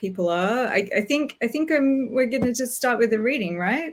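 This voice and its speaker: A woman talks with an Australian accent and ordinary pitch variation. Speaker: writer. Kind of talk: casual talk before a reading. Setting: video call. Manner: hesitant, many fillers.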